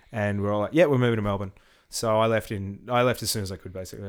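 A man with a fairly low pitch and fairly even intonation is heard on a very clean recording against a silent background. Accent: Australian. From Tasmania, Australia (Hobart). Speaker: rock musician. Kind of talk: casual chat.

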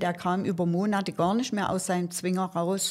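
A woman with an unremarkable speaking voice at medium pitch and moderate pace, on a very clean recording with a silent background. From Saxony, Germany. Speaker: animal welfare volunteer. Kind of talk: interview.

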